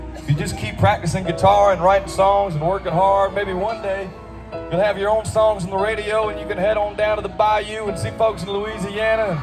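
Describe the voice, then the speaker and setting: Music plays clearly behind a man with a high-pitched voice. He talks fairly quickly in a flat monotone. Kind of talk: stage banter to audience. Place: stadium. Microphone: pa.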